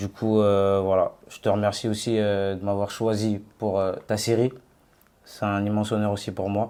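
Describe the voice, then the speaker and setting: A man speaks at a fairly slow pace in a fairly low pitch, with a dark, mellow tone and monotone, flat intonation. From Paris suburbs, Seine-Saint-Denis. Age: 20s. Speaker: former rapper turned cook. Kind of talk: interview.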